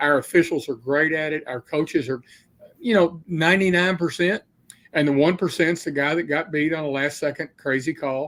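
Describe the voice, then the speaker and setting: A man talks in an unremarkable speaking voice at a fairly high pitch. His pace is moderate and his intonation fairly even. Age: 60s. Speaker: state high school athletics commissioner. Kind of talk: podcast interview. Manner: casual, conversational with fillers.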